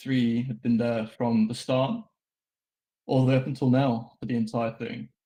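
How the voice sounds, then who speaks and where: A man speaks with a British accent at a medium pitch. His tone is dark and mellow. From Britain. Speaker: game server admin. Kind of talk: anniversary speech. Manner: hesitant, many fillers.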